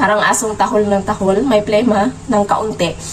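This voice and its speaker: A woman speaks over noticeable background noise. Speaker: vlogger. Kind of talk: casual vlog talk. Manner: halting, many fillers.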